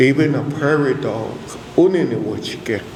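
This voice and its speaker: A man with a Cheyenne accent speaks with fairly even intonation. Audible room echo and noticeable background noise accompany him. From Cheyenne community, US Plains. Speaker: elder speaker at church convention. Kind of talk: spiritual talk. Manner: hesitant fillers.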